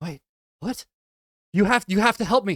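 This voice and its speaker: High-pitched put-on character voice from a man, at a moderate pace. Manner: desperate, pleading.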